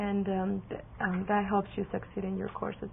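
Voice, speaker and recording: This woman speaks in a Spanish accent. Her pace is moderate. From Mexico. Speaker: college student. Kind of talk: interview. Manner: hesitant, many fillers.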